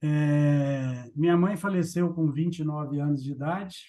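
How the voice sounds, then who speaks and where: Somewhat breathy and dark, mellow in tone, a man's fairly high voice moves with ordinary pitch variation. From Brazil, Minas Gerais (Triângulo Mineiro). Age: 60s. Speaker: agribusiness executive. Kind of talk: interview.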